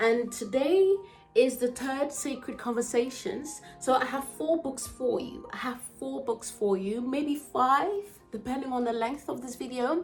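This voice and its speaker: Over music in the background, a woman speaks at a fairly slow pace with a high pitch and lively intonation. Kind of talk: casual talk to camera.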